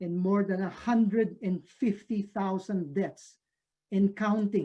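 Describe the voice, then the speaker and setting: Someone in a Filipino accent speaks at a very slow pace. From Philippines. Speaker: professor. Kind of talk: lecture. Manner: halting with many fillers.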